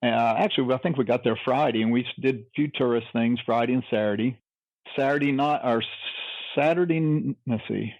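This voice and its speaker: A man speaks in an unremarkable speaking voice at medium pitch, with ordinary pitch variation, very even loudness and a moderate pace. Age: 60s. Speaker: wrestling historian and convention board member. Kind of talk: interview.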